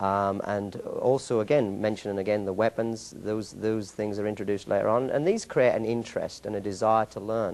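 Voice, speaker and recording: Speaking at a fairly quick pace, a man with an English accent has a fairly low pitch. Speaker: martial arts school owner and instructor. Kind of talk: interview. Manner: halting.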